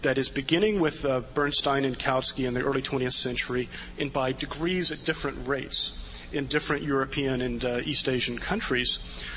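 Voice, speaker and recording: A man speaks with a fairly high pitch at a fairly quick pace, his intonation fairly even. Noticeable background noise runs under the recording. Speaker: political writer, commentator. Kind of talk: panel commentary. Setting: stage with audience.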